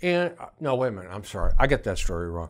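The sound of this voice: A man with a fairly low pitch, big pitch swings and a fast pace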